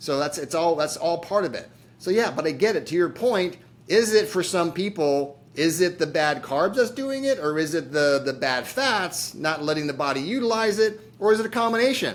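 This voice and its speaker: A man speaks at a high pitch. His intonation is lively. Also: moderate pace. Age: 60s. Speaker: chiropractor and diabetes program founder. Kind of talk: podcast interview. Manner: casual.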